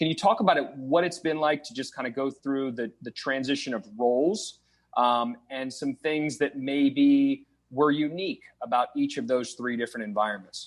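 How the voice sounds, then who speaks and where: A man with a slight Minnesota accent, fairly high-pitched, at a moderate pace with ordinary pitch variation. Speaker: podcast host. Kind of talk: podcast interview.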